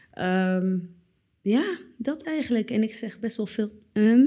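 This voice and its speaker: A woman speaks very slowly in a dark, mellow tone. Her pitch is fairly high, with ordinary variation. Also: long, frequent pauses. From Netherlands, Purmerend. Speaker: artist. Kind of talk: casual chat.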